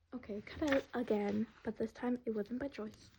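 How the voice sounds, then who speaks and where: Her voice dark, mellow and somewhat breathy, a woman speaks in a monotone, flat intonation. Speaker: art vlogger. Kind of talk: casual draw-along commentary. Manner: halting, many ums and fillers; rambling.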